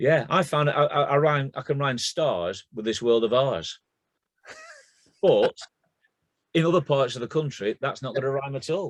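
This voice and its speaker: In a Lancashire accent, a man speaks at a moderate pace with a fairly high pitch and ordinary pitch variation. Long, frequent pauses break up his speech, and the sound is dry and close with no echo. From northern England.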